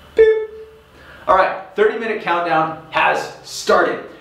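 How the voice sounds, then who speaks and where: Music in the background and audible room echo around a man's speech. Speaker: rowing coach. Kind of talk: workout intro talk to viewers. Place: garage.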